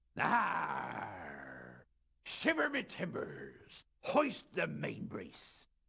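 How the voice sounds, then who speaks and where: A man puts on a raspy character voice. He speaks at a very slow pace. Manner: exaggerated, put on.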